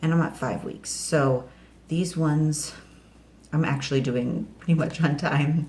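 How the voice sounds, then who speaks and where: A woman speaks in a very deep, low voice at a fairly slow pace with monotone, flat intonation, over noticeable background noise and audible room echo. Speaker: home gardening vlogger. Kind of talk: casual vlog tutorial. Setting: home kitchen. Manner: hesitant, many fillers; quiet, kids asleep nearby.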